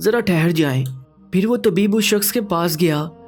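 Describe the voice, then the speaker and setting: Music in the background behind a man's high-pitched voice. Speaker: narrator. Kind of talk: moral story narration.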